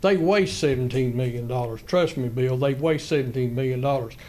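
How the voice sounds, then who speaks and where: A man with a North Carolina accent at a moderate pace, with audible room echo. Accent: Southern US (North Carolina). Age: 70s. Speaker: retired school employee, public commenter. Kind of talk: public comment at a county meeting. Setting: county commissioners meeting room. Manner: halting.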